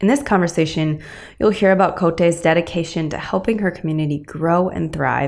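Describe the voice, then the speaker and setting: A woman rushes along at a very fast pace, her fairly low pitch showing ordinary variation. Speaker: podcast host. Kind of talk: interview. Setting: home recording setup.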